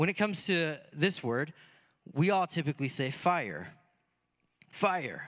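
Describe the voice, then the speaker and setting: A man with a Michigan accent speaks at a moderate pace in a high, bright, sharp voice with lively intonation. The recording is very clean, with a silent background. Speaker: pastor. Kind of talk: sermon. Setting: church.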